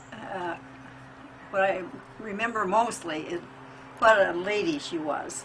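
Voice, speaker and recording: A woman talks at a fairly slow pace with long, frequent pauses, over noticeable background noise and audible room echo. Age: 80s+. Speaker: interviewee, family elder. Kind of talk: reminiscing interview. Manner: halting.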